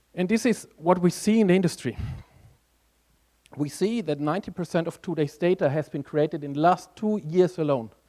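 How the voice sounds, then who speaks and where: Here a man speaks with a high pitch and ordinary pitch variation. His pace is fairly quick. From Germany. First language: German. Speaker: conference speaker, tech strategist. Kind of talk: conference talk.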